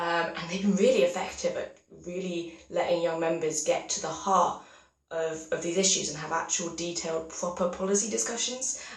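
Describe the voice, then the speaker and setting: Moderate pace over noticeable background noise. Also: woman, fairly low pitch for a woman, ordinary pitch variation. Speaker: youth political candidate. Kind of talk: campaign video monologue. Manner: casual, filler-heavy.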